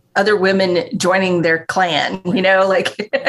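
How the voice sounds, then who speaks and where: This is a woman speaking in a normal speaking voice at medium pitch. Her pace is fairly slow. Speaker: grief ministry program director. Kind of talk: casual chat.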